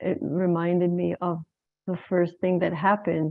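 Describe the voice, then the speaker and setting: A woman in an Israeli accent talks at a fairly slow pace and a fairly low pitch. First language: Hebrew. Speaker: women's circle facilitator. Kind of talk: facilitated circle sharing.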